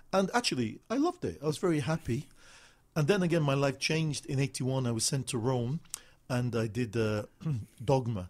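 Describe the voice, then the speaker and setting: Somewhat breathy and quick-paced, a man of medium pitch talks with lively intonation. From northern England, Manchester. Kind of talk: interview. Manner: halting.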